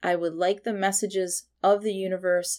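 Here is a woman with a plain, everyday voice at medium pitch. The recording is very clean, with a silent background. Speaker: meditation guide and intuitive. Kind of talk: guided meditation. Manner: slow, soothing, calm.

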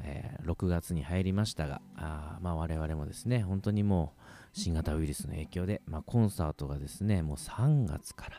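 A man's very deep, low voice with a dark, mellow tone and a relaxed tone, at a moderate pace with hardly any pauses and ordinary pitch variation. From Japan, Kagoshima. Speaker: radio host and double bass player. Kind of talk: solo radio talk. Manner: many fillers, relaxed pace.

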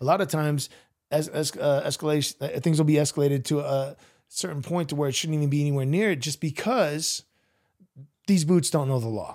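Delivered at a fairly quick pace, this is a normal speaking voice with ordinary pitch variation. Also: man, fairly high pitch for a man. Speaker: podcast host. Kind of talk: casual interview chat. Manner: casual, slangy, friendly.

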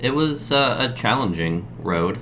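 A man with an American accent, his pitch swinging very widely at a fairly slow pace, with audible room echo. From Southwest Michigan. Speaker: nurse. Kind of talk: casual conversation. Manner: halting, many fillers.

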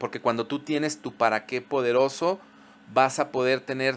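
A man is talking at a medium pitch. His pitch variation is ordinary. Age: 40s. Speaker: podcast host, psychologist. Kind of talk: solo podcast monologue.

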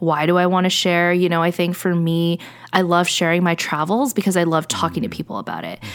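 Noticeable background noise sits behind a woman with a fairly low pitch. She talks very fast, with fairly even intonation. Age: 30s. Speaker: podcast guest. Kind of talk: casual chat.

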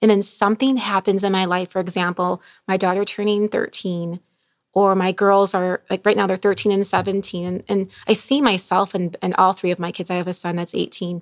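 In a very clean recording with a silent background, the speaker talks at a fairly quick pace in an American accent with monotone, flat intonation. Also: woman, medium pitch for a woman, dry, close sound with no echo. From Chicago area, Illinois. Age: 40s. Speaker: nurse and recovery ministry leader. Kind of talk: testimony.

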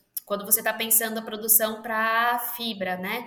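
Her voice fairly high and her intonation monotone and flat, a woman talks at a moderate pace with audible room echo. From São Paulo, Brazil. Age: 30s. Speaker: entrepreneur. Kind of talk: interview.

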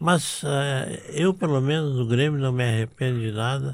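The man's tone is dark and mellow. His voice sits at a medium pitch. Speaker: former football club president. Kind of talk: interview storytelling.

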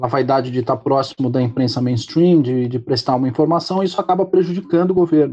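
The speaker is a man with a medium pitch. He speaks very fast. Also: ordinary pitch variation. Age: 40s. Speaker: political commentator. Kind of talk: casual interview. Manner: halting, repeats words.

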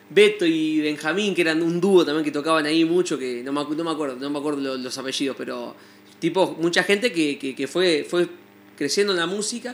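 A man with a fairly high pitch and ordinary pitch variation talks at a moderate pace. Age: 20s. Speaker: musician and music teacher. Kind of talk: interview. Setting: studio. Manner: hesitant, many fillers and repetitions.

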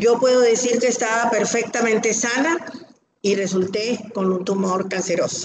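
A woman with a fairly high pitch speaks at a moderate pace with ordinary pitch variation and audible room echo. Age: 60s. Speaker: breast cancer survivor. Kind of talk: testimony.

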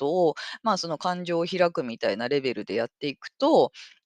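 A woman's fairly low voice at a fairly quick pace, dry and close with no echo. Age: 40s. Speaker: podcast host. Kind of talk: casual monologue. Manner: animated.

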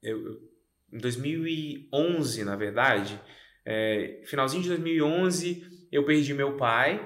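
Against audible room echo, a man talks at a very slow pace with lively intonation. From Goiânia, Brazil. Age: 30s. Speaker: podcast co-host. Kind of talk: casual chat.

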